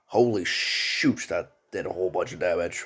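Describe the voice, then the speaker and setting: Music plays in the background. Over it, a man talks at a very slow pace. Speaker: gaming youtuber. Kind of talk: game reaction video. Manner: quiet; halting.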